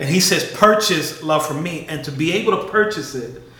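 Amid noticeable background noise, a man with an American accent speaks at a high pitch and a moderate pace with ordinary pitch variation. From Chicago, South Side. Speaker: faith podcast co-host. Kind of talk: casual conversation on faith and race.

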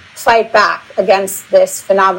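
A woman with an American accent at a fairly slow pace, amid noticeable background noise. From United States. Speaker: nonprofit founder and attorney. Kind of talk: interview. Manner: fillers, occasional repeats.

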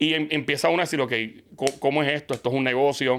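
Talking at a very fast pace, a man speaks at a medium pitch. The recording is very clean with a silent background. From Puerto Rico, partly raised in Queens, New York. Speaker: radio and TV host. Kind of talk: casual interview chat. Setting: studio. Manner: animated.

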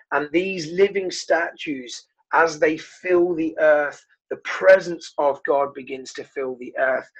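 A man's fairly high voice in a southern English accent, very slow, with ordinary pitch variation and big swings in loudness. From southern England. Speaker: pastor. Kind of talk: interview. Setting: video call.

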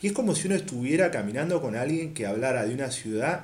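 With audible room echo, a man speaks in very wide pitch swings. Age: 30s. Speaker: podcast panelist. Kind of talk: casual discussion.

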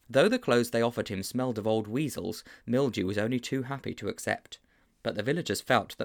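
The speaker reads in a natural reading voice whose pitch changes by ordinary amounts.

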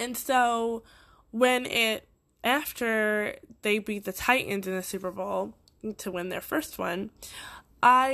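Speaking with a slight Boston accent, a woman with a fairly high pitch uses ordinary pitch variation on a very clean recording with a silent background. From Boston, Massachusetts.

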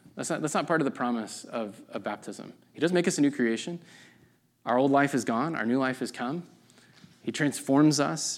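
At a fairly quick pace, a man with an ordinary speaking voice uses lively intonation on a very clean recording with a silent background. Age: 30s. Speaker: pastor. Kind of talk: sermon. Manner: casual, conversational with fillers.

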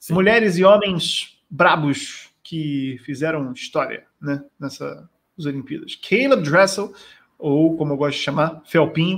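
A plain, everyday voice belongs to a man with a fairly high pitch, ordinary pitch variation and a fairly slow pace. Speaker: podcast host. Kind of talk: casual chat.

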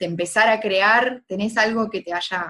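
A woman speaks in a Rioplatense accent at a fairly high pitch. The recording is very clean with a silent background. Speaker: podcast host. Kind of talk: interview.

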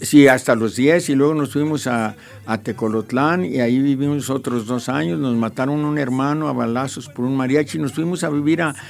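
Over noticeable background noise, a man talks at a moderate pace with hardly any pauses. His pitch is medium, with ordinary variation. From Mexico, Jalisco. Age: 70s. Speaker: radio broadcaster and painter. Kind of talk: casual interview.

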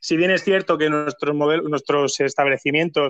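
A man with a plain, everyday voice, fairly high in pitch, at a fairly quick pace with fairly even intonation. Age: 30s. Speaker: hotel operations manager. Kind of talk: interview.

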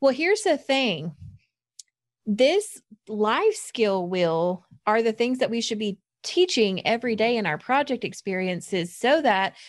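With an American accent, a woman talks in a normal speaking voice. Her intonation is lively. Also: very clean recording, silent background. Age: 30s. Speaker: youth program specialist, podcast co-host. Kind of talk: casual chat.

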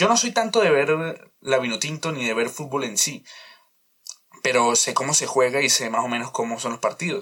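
A man speaks at a fairly high pitch, his intonation lively. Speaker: podcast host. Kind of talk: casual monologue. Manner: loud; halting.

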